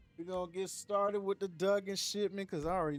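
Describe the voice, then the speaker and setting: Talking at a very fast pace over music in the background, a man speaks with an American accent. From Miami, Florida. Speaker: gaming streamer. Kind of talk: live gaming stream commentary. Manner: loud yelling at times; casual, animated.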